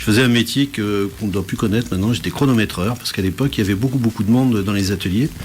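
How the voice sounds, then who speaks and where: Someone speaks at a very fast pace with ordinary pitch variation over noticeable background noise. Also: man. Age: 60s. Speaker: entrepreneur, business support network president. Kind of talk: radio interview.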